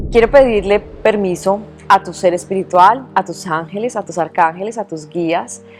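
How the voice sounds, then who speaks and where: A woman talks at a medium pitch and a moderate pace. Her pitch varies in an ordinary way, with music playing in the background. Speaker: journalist. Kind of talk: interview host.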